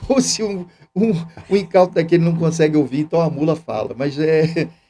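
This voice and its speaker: A high-pitched man at a fairly quick pace with ordinary pitch variation and music in the background. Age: 60s. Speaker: seminarian and church youth coordinator. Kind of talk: casual interview chat.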